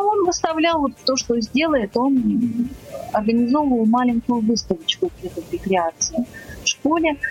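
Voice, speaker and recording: Amid noticeable background noise, a woman with a high pitch speaks at a moderate pace, her pitch swinging very widely. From Saint Petersburg, Russia. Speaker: blind artist. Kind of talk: radio interview.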